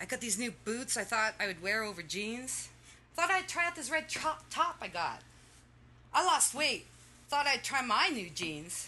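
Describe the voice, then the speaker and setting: A woman speaks at a moderate pace in a high pitch, her voice making very wide pitch swings. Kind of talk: poetry reading. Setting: stage with audience.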